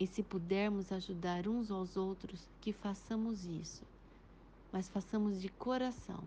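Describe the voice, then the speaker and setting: This woman's voice is dark, mellow and somewhat breathy. She speaks at a fairly slow pace. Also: medium pitch for a woman, fairly even intonation. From Pederneiras, interior of São Paulo state, Brazil. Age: 40s. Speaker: history teacher. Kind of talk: interview answers. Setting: WhatsApp voice recording. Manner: formal.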